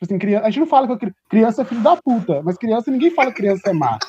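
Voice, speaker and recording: Lively intonation moves at a very fast pace. The sound is dry and close, with no echo. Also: man. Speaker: podcast co-host. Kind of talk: casual chat.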